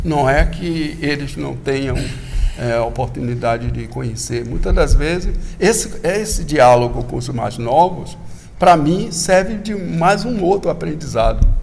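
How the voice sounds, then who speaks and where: A man talks at a fairly slow speed amid noticeable background noise and audible room echo. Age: 60s. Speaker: candomblé religious elder. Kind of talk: interview. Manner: halting, with repetitions.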